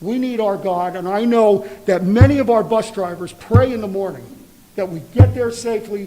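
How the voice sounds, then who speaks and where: A man talks in a high-pitched voice, his loudness swinging a lot. Noticeable background noise runs underneath. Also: ordinary pitch variation, moderate pace. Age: 60s. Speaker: public commenter, school bus driver. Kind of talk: public comment at board meeting. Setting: school board meeting.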